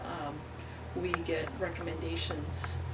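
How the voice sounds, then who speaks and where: A woman speaks amid noticeable background noise, her voice carrying audible room echo. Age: 40s. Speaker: workamper. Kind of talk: interview.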